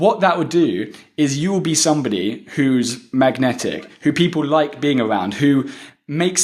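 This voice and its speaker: A man speaks with lively intonation. His pitch is fairly high. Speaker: podcast host being interviewed. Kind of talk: interview answers, advice. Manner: fast.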